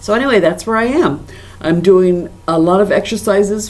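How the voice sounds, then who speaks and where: Noticeable background noise surrounds a woman with lively intonation. She speaks at medium pitch and a moderate pace. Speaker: stroke survivor and corporate trainer vlogger. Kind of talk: personal video diary. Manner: careful enunciation; halting, repeats words.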